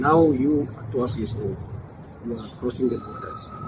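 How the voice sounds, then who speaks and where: A man's medium-pitched voice with ordinary pitch variation, with noticeable background noise and audible room echo. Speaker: podcast host. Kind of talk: casual interview. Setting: outdoors in a garden.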